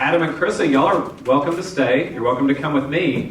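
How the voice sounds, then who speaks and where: In a Texan accent, a man with a fairly high pitch talks at a fairly quick pace amid noticeable background noise and audible room echo. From Texas, Houston. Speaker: pastor. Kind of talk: sermon.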